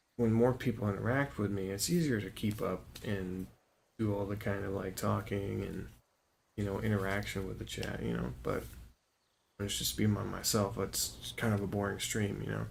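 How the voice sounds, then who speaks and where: A man talks quietly at a moderate pace, his fairly low voice somewhat breathy. His intonation is lively, and the room echo is audible. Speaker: gaming streamer. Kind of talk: gameplay stream commentary. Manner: quiet, subdued; casual, halting with fillers.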